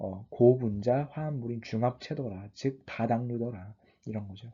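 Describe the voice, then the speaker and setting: A man's somewhat breathy voice, dark and mellow in tone, at a fairly slow pace. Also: medium pitch for a man, ordinary pitch variation. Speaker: online biology tutor. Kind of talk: lecture. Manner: halting, self-correcting.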